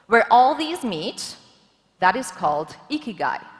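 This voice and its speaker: Over noticeable background noise, a woman speaks loudly and in an animated tone at a fairly slow pace. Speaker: government official, forum speaker. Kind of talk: conference talk.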